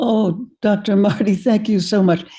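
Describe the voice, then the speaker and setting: A woman with a dark, mellow tone speaks at a fairly slow pace and sounds somewhat breathy. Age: 80s+. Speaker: keynote speaker and author. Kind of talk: thanks after keynote.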